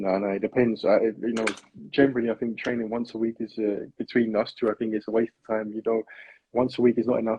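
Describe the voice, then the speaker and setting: A man with a South London accent, medium-pitched, monotone and flat, at a very fast pace. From South London, England. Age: 20s. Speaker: personal trainer. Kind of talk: interview. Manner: soft-spoken.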